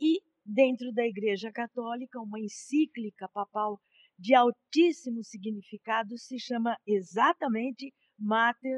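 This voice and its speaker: In a dry, close sound with no echo, a woman with an unremarkable speaking voice and fairly high pitch talks at a fairly slow pace, her pitch variation ordinary and her loudness swinging widely. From Brazil, São Carlos, São Paulo state. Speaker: law professor. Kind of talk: interview. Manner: formal.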